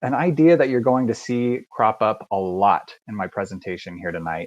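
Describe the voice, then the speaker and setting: Against a quiet background, a man with a slight Southern US accent speaks at a medium pitch and a moderate pace with lively intonation. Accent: slight Southern twang. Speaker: university admissions recruiter. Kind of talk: live online presentation. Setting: video call with screen sharing. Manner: many filler words (uh, um).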